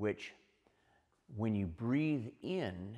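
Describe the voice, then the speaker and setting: This man talks at a very slow pace with lively intonation. His pitch sits in the medium range. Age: 60s. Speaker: martial arts instructor. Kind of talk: tutorial.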